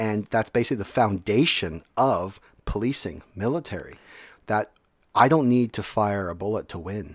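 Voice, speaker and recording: With an ordinary speaking voice, a man speaks at a fairly low pitch and a moderate pace with ordinary pitch variation, on a very clean recording with a silent background. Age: 30s. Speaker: military veteran and educator. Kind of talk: casual interview.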